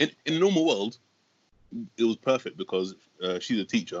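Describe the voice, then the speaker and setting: A man in a London accent, at a fairly quick pace with ordinary pitch variation. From West London. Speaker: stand-up comedian. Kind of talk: casual chat.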